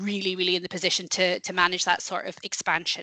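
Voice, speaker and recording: A woman's very fast, medium-pitched speech in a Scottish accent, bright and sharp in tone with monotone, flat intonation and a dry, close sound with no echo. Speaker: company head of industry sector, webinar presenter. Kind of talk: business webinar presentation.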